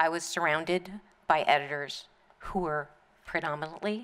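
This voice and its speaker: A woman with a very deep, low pitch and an American accent speaks at a fairly slow pace with ordinary pitch variation. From US, South Florida. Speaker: newspaper editor. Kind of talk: memorial speech. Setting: memorial service in a museum hall with audience.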